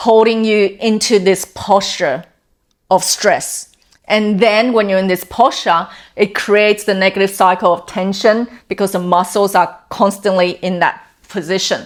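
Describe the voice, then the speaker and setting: Fairly even intonation marks a normal speaking voice. The pace is fairly slow. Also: woman. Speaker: wellness coach. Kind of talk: talking-head explainer video.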